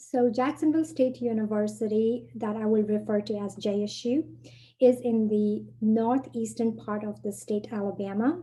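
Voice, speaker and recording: A woman's somewhat breathy, dark, mellow voice, fairly high in pitch, at a moderate pace. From Nepal. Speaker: university international programs director. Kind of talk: webinar presentation.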